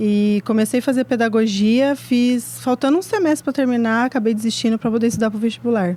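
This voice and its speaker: Speaking at a fairly quick pace, a woman has a fairly high pitch, ordinary pitch variation, a dark, mellow tone and a somewhat breathy sound. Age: 30s. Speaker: medical student. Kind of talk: casual chat.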